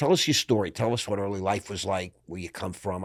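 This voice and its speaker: A man's normal speaking voice in an American accent, moderate pace, ordinary pitch variation, very clean recording with a silent background. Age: 60s. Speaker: podcast host. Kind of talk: casual interview chat.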